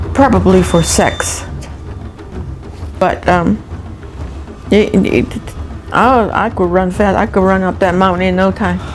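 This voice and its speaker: With music in the background and audible room echo, a woman speaks at a fairly slow pace with long, frequent pauses. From Acoma Pueblo, New Mexico. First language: Acoma Keres. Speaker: Native elder. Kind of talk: interview. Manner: halting.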